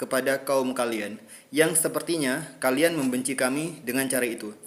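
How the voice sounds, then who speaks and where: This is an unremarkable speaking voice from a man. He speaks at a moderate pace and a fairly high pitch. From Riau Islands, Indonesia. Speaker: content creator responding to comments. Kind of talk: social media video monologue.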